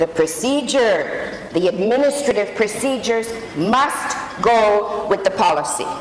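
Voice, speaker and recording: A woman talks with a Canadian accent and lively intonation. Noticeable background noise runs behind her. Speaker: human rights expert. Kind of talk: panel talk.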